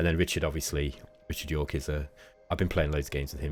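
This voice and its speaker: Vocal fry creaks through this man's speech. His register is very deep and low. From England, Derby. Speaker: gaming YouTuber. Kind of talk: gameplay commentary. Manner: casual, hesitant with many fillers.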